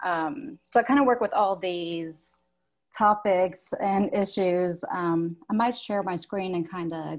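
A woman at a very slow pace, ordinary pitch variation, quiet background. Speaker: textile artist. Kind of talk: panel discussion. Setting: video call. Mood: warm, reflective. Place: home room.

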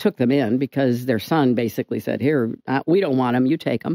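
Her tone is dark and mellow, with ordinary pitch variation at a moderate pace. The woman is recorded against a quiet background. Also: dry sound with no echo. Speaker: interview guest. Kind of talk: interview answer. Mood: earnest, somber storytelling. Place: studio. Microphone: studio mic.

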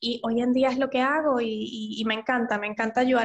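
At a moderate pace, a woman with a fairly high pitch uses fairly even intonation in a normal speaking voice. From Venezuela. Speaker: psychologist. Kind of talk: interview.

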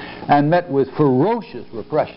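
Light background noise behind a man talking. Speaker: history professor. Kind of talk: lecture. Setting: stage with audience. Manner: halting. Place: hall. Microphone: lapel.

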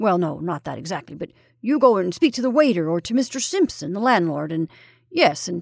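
In a put-on character voice with an English accent, a woman speaks at fairly low pitch with big pitch swings, vocal fry and a slightly husky edge. Her pace is fairly quick, and the recording is very clean with a silent background.

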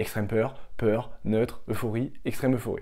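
Against a quiet background, a man speaks at a fairly slow pace. His tone is dark and mellow, his pitch medium. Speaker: crypto YouTuber. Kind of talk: scripted narration. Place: home room. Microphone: lapel.

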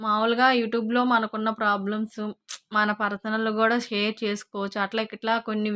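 Dry and close with no echo, a woman's voice carries a bright, sharp tone at a fairly high pitch with monotone, flat intonation. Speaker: vlogger and tailor. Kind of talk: personal vlog. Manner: halting.

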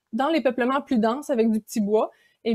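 Against a quiet background, a woman speaks in a Quebec accent with ordinary pitch variation. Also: dry sound with no echo. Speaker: graduate student researcher; presenter. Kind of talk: conference talk. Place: home room. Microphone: webcam.

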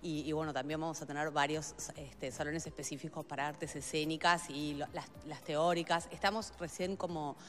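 Her pitch low and her intonation fairly even, a woman moves at a moderate pace with few pauses.

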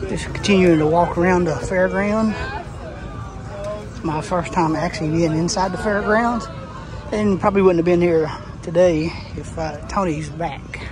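The speech moves at a moderate pace with long, frequent pauses, dry with no echo, while crowd noise carries in the background. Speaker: event visitor vlogger. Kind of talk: casual vlog chat. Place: street. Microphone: phone near.

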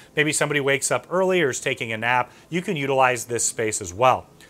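At a very fast pace, a man speaks with lively intonation. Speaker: travel agent host. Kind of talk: tour presentation. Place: home room.

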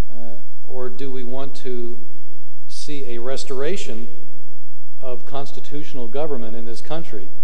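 Ordinary pitch variation and a moderate tempo from a man. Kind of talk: speech. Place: hall. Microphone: podium.

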